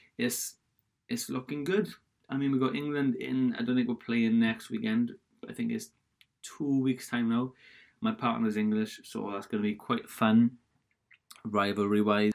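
A man speaks at a moderate pace in a Welsh accent, his pitch medium. Long, frequent pauses break up his fairly even intonation. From Wales. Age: 20s. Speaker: podcaster. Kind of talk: casual solo chat. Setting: home office with laptop audio. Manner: rambling, casual.

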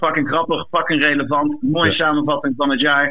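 A man with a fairly high pitch is heard against noticeable background noise. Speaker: caller. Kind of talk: casual chat. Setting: phone call.

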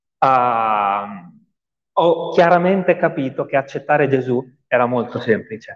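Lively intonation runs through an unremarkable speaking voice that moves at a fairly slow pace. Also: man, medium pitch for a man. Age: 30s. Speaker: pastor. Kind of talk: testimony. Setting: church.

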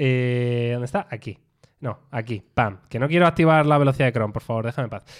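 A man's ordinary speaking voice at medium pitch, with ordinary pitch variation and a fairly quick pace, on a very clean recording with a silent background. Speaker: tech podcast host. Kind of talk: casual chat. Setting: studio, streamed live on video.

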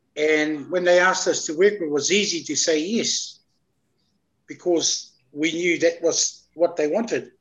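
A man's high-pitched voice, fairly even in intonation, at a fairly slow pace. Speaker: traditional Maori healer. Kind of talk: casual interview. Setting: video call.

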